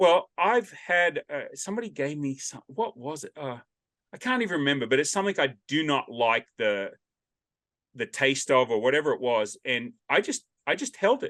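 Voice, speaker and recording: With an Australian accent, a man speaks at a moderate pace and fairly high pitch, making very wide pitch swings in a dry, close sound with no echo. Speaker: podcast host. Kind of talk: casual interview chat. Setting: video call. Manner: loud, carrying voice.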